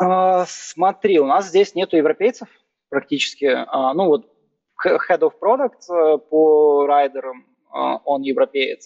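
Here a man talks at a very slow pace with a fairly high pitch. His pitch variation is ordinary and his loudness very even. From Ukraine, Kyiv. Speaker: growth marketing manager. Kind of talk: casual interview.

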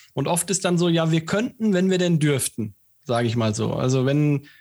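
The recording is very clean, with a silent background, and the pace is fairly quick. It has a plain, everyday voice with ordinary pitch variation. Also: man. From Siegen, Germany. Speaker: podcast co-host. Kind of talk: interview.

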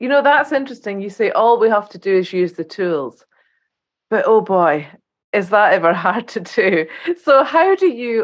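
A plain, everyday voice, from a woman with a fairly high pitch, lively intonation, big swings in loudness and a moderate pace. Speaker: podcast host, psychotherapist. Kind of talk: interview conversation.

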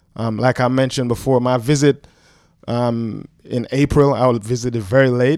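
The voice moves at a moderate pace with a monotone, flat intonation. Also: man, medium pitch for a man. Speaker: track and field coach. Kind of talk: casual chat. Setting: studio.

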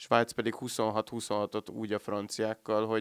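A man with a plain, everyday voice talks at a fairly slow pace and fairly low pitch. The recording is very clean with a silent background, and the sound is dry and close with no echo. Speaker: sports podcast host. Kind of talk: casual sports discussion. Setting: in-person recording, sitting face to face.

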